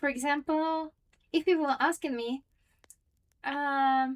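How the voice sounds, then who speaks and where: A woman with a high voice talks at a very slow pace with fairly even intonation. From Russia. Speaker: streamer. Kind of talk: casual chat. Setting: livestream at home. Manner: soft-spoken.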